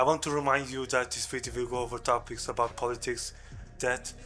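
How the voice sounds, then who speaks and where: A man's medium-pitched voice in monotone, flat intonation at a fairly quick pace, with music in the background. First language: not English. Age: 20s. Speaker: video creator. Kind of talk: personal testimony. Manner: halting.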